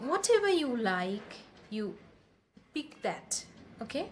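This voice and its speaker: Speaking at a very slow pace, a woman uses lively intonation in a somewhat breathy voice. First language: Bengali. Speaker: English-speaking coach. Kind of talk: tutorial.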